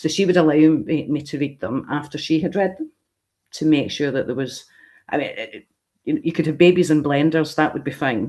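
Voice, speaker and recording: With a Scottish accent, a woman speaks fairly quickly in a very deep, low voice with ordinary pitch variation. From Scotland. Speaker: horror convention organizer. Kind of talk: interview. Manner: halting, many fillers.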